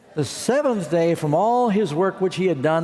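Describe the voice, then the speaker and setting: A man speaks at a moderate pace with lively intonation. He has an unremarkable speaking voice. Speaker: preacher. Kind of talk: sermon.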